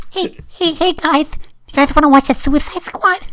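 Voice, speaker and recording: A put-on character voice with a high pitch delivers its lines at a moderate pace. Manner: comical.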